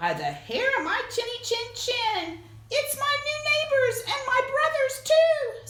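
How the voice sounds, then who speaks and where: A woman's put-on character voice, squeaky and extremely high, fairly slow, with a slight echo. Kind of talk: children's read-aloud. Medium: read story.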